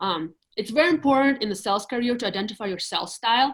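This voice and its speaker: A woman with a Russian accent, talking very fast, with ordinary pitch variation. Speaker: real estate agent. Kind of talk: casual interview on live video call.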